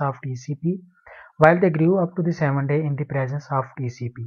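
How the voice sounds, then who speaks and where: A man talks in a fairly high, somewhat breathy voice. His intonation stays fairly even. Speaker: PhD student. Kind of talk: conference presentation. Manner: fast.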